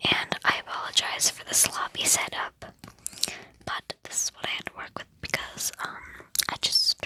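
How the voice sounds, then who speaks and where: Someone whispers at a moderate pace, leaving long, frequent pauses. Noticeable background noise sits under the voice. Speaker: ASMR reader. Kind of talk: casual talk to camera. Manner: soft-spoken.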